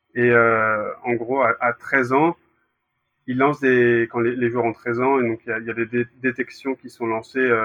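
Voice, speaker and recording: Speaking at a fairly slow pace, a man uses a medium pitch and monotone, flat intonation. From Brittany, France. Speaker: former youth goalkeeper. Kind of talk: interview. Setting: recorded separately.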